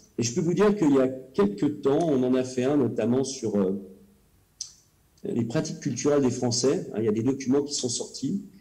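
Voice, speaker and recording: The speaker moves at a moderate pace with lively intonation, and an audible room echo surrounds the voice. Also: man, medium pitch for a man. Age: 50s. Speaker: cultural policy official and elected councillor. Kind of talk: presentation. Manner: hesitant, many filler sounds.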